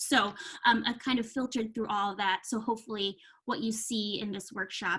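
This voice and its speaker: At a moderate pace, a woman speaks in an ordinary speaking voice with a fairly high pitch. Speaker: marketing consultant running a workshop. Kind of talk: virtual workshop presentation. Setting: video call.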